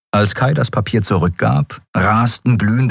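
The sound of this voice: The voice reads in an unforced way. Pitch rises and falls in an ordinary way.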